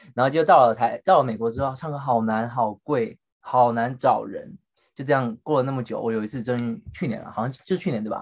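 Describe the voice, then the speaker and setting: A normal speaking voice moves at a fairly quick pace with ordinary pitch variation. The background is quiet. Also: man, medium pitch for a man. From Taiwan. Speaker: podcast co-host. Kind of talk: casual chat.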